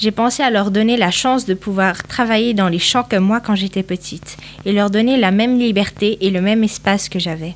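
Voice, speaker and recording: Fairly quick talk from a woman amid noticeable background noise. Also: medium pitch for a woman, ordinary pitch variation. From northern Portugal. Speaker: interviewee, immigrant. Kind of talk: interview answers.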